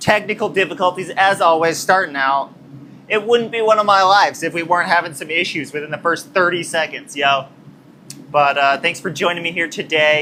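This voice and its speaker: A loud voice in an American accent, with ordinary pitch variation. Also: man, high pitch for a man. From New Mexico, US Southwest. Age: 20s. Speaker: blacksmith livestreamer. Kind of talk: casual livestream chat while working. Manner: animated.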